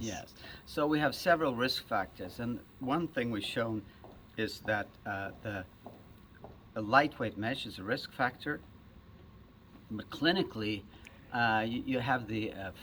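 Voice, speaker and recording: A soft-spoken man with a medium pitch and a bright, sharp tone speaks at a fairly slow pace. His pitch varies in an ordinary way, with long, frequent pauses. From Sweden. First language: Swedish. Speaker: surgeon. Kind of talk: interview answer.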